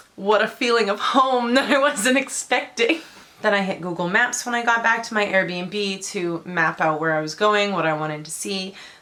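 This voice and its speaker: A woman with a medium pitch speaks at a moderate pace and with lively intonation. Noticeable background noise runs behind her. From Surrey, British Columbia, Canada. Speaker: travel vlogger. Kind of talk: casual storytelling vlog.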